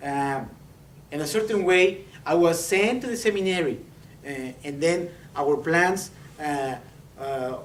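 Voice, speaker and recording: A man with a Mexican accent speaks at a fairly slow pace with long, frequent pauses, lively intonation and high pitch. Audible room echo surrounds his voice. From Mexico, Saltillo (northern Mexico). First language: Spanish. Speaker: preacher, seminary student. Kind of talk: sermon. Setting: church. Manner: halting, many fillers and repetitions.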